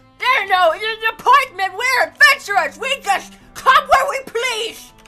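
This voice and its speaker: In a put-on character voice with an extremely high pitch, the speaker moves at a moderate pace over faint music in the background. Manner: loud, aggressive, shouting.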